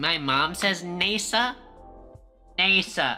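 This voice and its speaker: A female-sounding, put-on character voice comes through nasal at a medium pitch, with faint music in the background. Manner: mocking, exaggerated.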